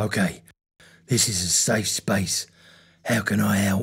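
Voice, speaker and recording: A raspy put-on character voice at a low pitch. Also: fairly slow pace. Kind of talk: comedy sketch dialogue.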